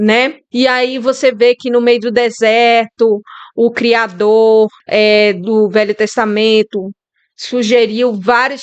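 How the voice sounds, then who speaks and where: In a strong Bahian accent, a woman speaks in a fairly high pitch with flat, monotone intonation. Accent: strong Bahian Brazilian Portuguese. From Brazil, Bahia. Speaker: YouTuber sharing reflections. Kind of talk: casual monologue. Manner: informal, hesitant.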